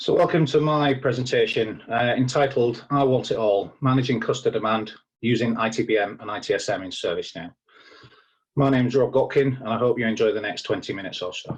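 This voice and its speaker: In a strong English accent, a man talks at a very fast pace, his voice somewhat breathy. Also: medium pitch for a man, ordinary pitch variation. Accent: thick English. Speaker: IT service manager. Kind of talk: conference presentation. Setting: recorded at home.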